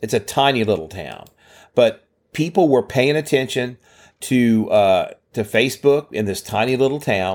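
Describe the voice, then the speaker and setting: A man with a Louisiana accent talks at a medium pitch and moderate pace, his intonation lively. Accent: Southern US (Louisiana). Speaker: podcast co-host. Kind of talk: casual chat. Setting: video call.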